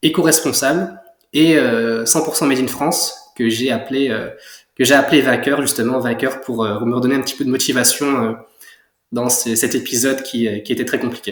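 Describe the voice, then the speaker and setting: Audible room echo surrounds a man's medium-pitched voice. He talks at a moderate pace with fairly even intonation. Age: 20s. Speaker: young entrepreneur, clothing brand founder. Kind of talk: interview. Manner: hesitant, many fillers.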